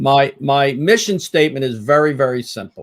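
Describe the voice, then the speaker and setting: Here a man with an American accent speaks in a fairly high pitch. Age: 60s. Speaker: podiatric surgeon and laser trainer. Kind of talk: live webinar presentation. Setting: live online stream. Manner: halting, frequent filler words.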